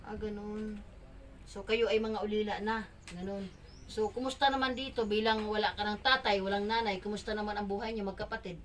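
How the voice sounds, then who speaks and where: Over noticeable background noise, a woman talks at a fairly quick pace in a fairly high pitch, with big swings in loudness. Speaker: charity vlogger. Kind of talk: on-location interview. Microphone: no microphone yet.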